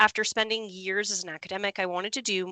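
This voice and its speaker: A woman with a Canadian accent at a fairly quick pace, medium pitch, and a bright, sharp tone, the sound dry and close with no echo over a quiet background. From Canada, immigrant family from abroad. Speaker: road safety official. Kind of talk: interview. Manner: hesitant, many fillers.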